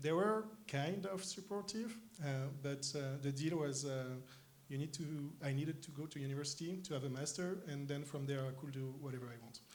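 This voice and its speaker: A man's fairly high voice in a French accent, moderate in pace with ordinary pitch variation, amid audible room echo and noticeable background noise. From France, Paris. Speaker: tech company co-founder. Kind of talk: stage interview. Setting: conference stage with audience. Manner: hesitant, many fillers.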